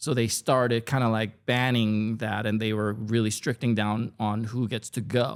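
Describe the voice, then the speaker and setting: The speaker, with a Korean accent, talks at a fairly slow pace in a monotone, flat intonation on a very clean recording with a silent background. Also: man. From South Korea, moved to California at 13. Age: 50s. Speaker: food content creator. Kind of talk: casual podcast interview.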